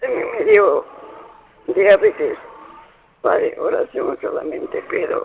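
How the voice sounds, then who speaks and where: Very slow speech from a man, with noticeable background noise behind it. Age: 80s+. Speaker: caller. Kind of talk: phone call. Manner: halting.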